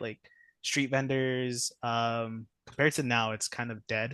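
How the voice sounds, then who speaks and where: A man's medium-pitched voice at a fairly slow pace, fairly even in intonation, in a dry, close sound with no echo. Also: quiet background. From Los Angeles, US. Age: 20s. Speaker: case manager. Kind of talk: interview. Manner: hesitant, many fillers.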